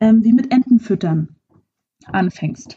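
A somewhat breathy woman with a French accent speaks with lively intonation. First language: French (speaking German). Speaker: podcast host, actress and coach. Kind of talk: solo podcast monologue.

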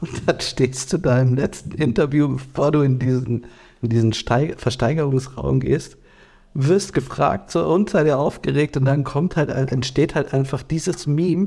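Very even in loudness, a man speaks at a fairly slow pace with a fairly high pitch. His tone is dark and mellow, and somewhat breathy. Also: ordinary pitch variation. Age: 30s. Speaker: podcast co-host. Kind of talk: casual chat.

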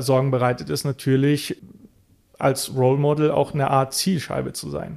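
Fairly even intonation from a man at a medium pitch and moderate pace. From Bulgaria, Roma minority; raised partly in Mosel region, Germany. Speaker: political scientist and activist. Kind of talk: interview. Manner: hesitant, frequent fillers.

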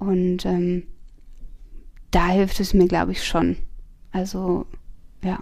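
A woman speaks at a very slow pace with long, frequent pauses, her medium-pitched voice dark and mellow. Her intonation stays monotone and flat. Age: 30s. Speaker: tattoo artist. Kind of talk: casual interview. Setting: at home.

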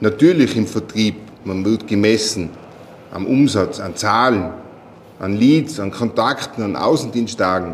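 Amid noticeable background noise, a man speaks at a fairly low pitch and fairly slow pace, with ordinary pitch variation and long, frequent pauses. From Austria, Tyrol. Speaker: sales manager. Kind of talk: interview. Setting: meeting room on location.

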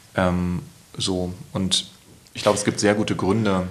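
Against noticeable background noise, a man speaks with fairly even intonation at a very deep, low pitch. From Berlin, Germany. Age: 30s. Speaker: poet and author. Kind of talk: casual interview. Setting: at home.

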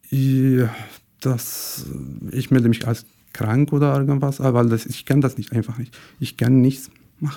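Fairly slow speech with a Syrian accent, a dark, mellow tone, monotone, flat intonation and long, frequent pauses. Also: man, medium pitch for a man. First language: Arabic (speaking German). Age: 20s. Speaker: podcast guest. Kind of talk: personal testimony. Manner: halting, searching for words.

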